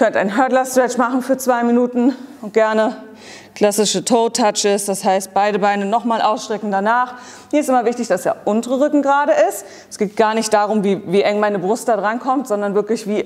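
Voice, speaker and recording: A woman speaks fairly quickly with fairly even intonation. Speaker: fitness coach. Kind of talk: workout tutorial. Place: gym.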